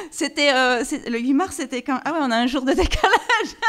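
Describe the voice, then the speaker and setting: A woman with a slight Vaud accent. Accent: slight Swiss (Vaud). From Switzerland, canton of Vaud. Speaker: singer, actress and film director. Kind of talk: interview. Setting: TV talk show studio. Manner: fast, rapid-fire when passionate.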